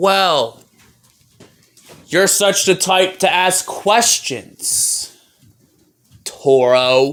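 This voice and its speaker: A man uses a put-on character voice at a high pitch. He talks at a very slow pace with long, frequent pauses. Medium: audio drama. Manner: questioning, cautious.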